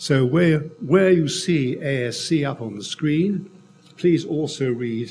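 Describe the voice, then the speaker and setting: With an English accent, a man speaks at a very slow pace using lively intonation. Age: 80s+. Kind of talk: conference talk.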